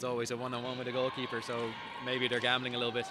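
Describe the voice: A man's voice is heard. It sits at a medium pitch.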